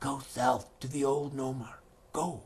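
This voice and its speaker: Someone puts on a character voice at a low-to-middle pitch and a fairly slow pace. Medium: read story.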